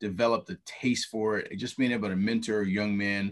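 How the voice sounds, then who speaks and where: Over a quiet background, a man of medium pitch with an American accent speaks at a moderate pace. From Ohio, Toledo east side. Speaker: basketball coach. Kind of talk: interview. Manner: halting.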